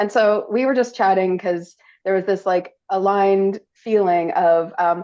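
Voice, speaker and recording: The speaker talks with a Canadian accent. The pace is moderate. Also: woman. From Canada. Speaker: podcast host. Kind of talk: casual interview chat. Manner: animated, chatty.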